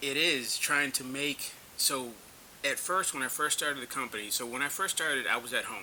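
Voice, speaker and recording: Noticeable background noise sits behind a man speaking fairly quickly with an American accent. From North Carolina, rural. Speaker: small business owner, military veteran. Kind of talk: interview.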